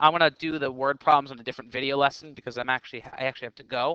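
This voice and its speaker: The tone is bright and sharp, and the pace is very fast. The sound is dry and close, with no echo. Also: man. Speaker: math teacher. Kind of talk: tutorial.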